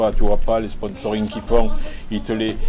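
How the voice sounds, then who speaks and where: A man talks at a moderate pace while noticeable noise sits in the background. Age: 60s. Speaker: poker player. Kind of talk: trash talk during a poker match. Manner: animated.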